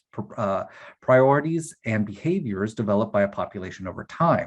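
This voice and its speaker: A man with an American accent talks at a fairly quick pace, his pitch swinging very widely. His voice is somewhat breathy, and the background is quiet. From US South, Eastern Kentucky; Kentucky. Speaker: workshop facilitator. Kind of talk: workshop presentation. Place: home room. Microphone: video call.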